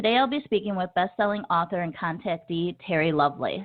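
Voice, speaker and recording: A woman speaks in a plain, everyday voice at a fairly quick pace. Her medium pitch carries lively intonation. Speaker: podcast host. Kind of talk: podcast intro.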